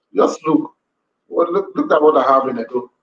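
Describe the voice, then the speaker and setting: A man with a Nigerian accent at a moderate pace. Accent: Nigerian (Edo) English. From Nigeria, Edo. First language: Edo. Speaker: language teacher. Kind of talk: live-stream lesson. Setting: live video stream.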